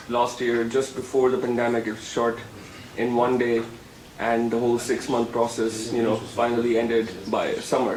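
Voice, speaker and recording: Someone with a Sindhi accent speaks in a flat monotone at a moderate pace, with audible room echo and noticeable background noise. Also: man, medium pitch for a man. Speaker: filmmaker and visiting lecturer. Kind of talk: interview. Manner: hesitant, many fillers.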